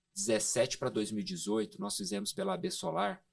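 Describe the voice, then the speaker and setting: A man's voice swings very widely in pitch. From Goiás, Brazil. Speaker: solar energy industry expert. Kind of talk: podcast interview. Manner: hesitant fillers.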